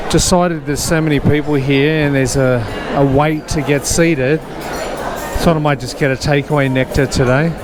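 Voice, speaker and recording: Over background music and audible room echo, a man with an Australian accent talks at a moderate pace in a fairly high pitch with flat, monotone intonation. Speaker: walking tour vlogger. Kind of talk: casual walking vlog narration. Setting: outdoors, city walk. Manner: slurring words.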